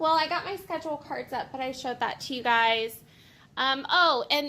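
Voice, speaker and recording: A woman with a high pitch and a bright, sharp tone uses a raised, projected voice at a moderate pace. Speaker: elementary school teacher vlogger. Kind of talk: casual vlog. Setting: classroom. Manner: animated.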